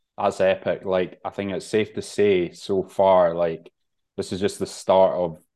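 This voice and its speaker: A man talks at a fairly slow pace in a very deep, low pitch with a dark, mellow tone. The background is quiet. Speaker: podcast host and bodybuilder. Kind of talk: casual interview chat.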